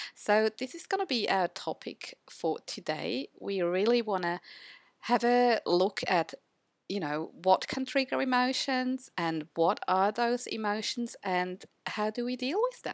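A woman uses a normal speaking voice at a fairly high pitch with lively intonation. The sound is dry and close, with no echo. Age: 50s. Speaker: podcast co-host, photo organizer. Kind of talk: casual chat.

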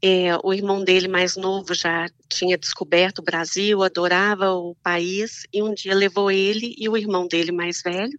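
In a Minas Gerais accent, the speaker talks at a fairly slow pace with hardly any pauses and a fairly even intonation, recorded dry and close with no echo. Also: woman, medium pitch for a woman. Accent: Mineiro Brazilian Portuguese. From Minas Gerais, Brazil. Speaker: Brazilian immigrant wife of an American. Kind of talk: casual interview chat.

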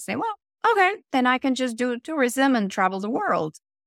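Speaking at a fairly quick pace in a Spanish accent, a woman swings her pitch very widely on a very clean recording with a silent background and a dry, close sound with no echo. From Venezuela. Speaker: actor and voiceover artist. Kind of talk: casual interview.

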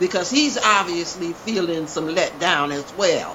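Against noticeable background noise, a woman speaks in a fairly low pitch. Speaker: actress and podcast co-host. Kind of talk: casual chat.

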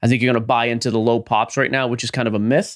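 Very clean recording of a man, the background silent. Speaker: podcast co-host. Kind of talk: casual chat.

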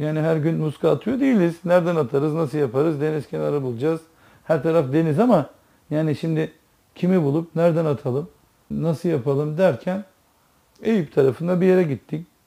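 Talking at a fairly quick pace, a man with a dark, mellow tone and fairly high pitch shows ordinary pitch variation. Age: 40s. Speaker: religious talk speaker. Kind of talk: religious talk to listeners.

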